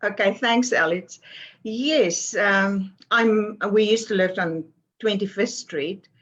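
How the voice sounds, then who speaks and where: At a very slow pace, a woman speaks in a South African accent. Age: 70s. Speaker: author and publisher. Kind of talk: interview.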